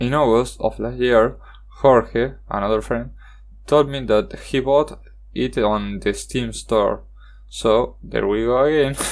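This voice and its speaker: The speech moves at a very slow pace. It carries a Spanish accent. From Argentina. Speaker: gaming YouTuber. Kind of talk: card game review monologue. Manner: halting, with self-corrections.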